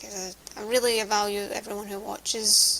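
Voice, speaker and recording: A woman with a Scottish accent, fairly high-pitched, at a fairly slow pace. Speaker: vlogger. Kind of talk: casual vlog monologue. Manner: halting.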